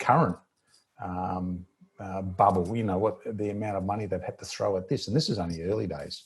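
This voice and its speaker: Here a man speaks with an Australian accent at a fairly low pitch. His voice is somewhat breathy, with ordinary pitch variation. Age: 60s. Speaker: financial newsletter editor. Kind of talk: interview. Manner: halting, many repetitions and fillers.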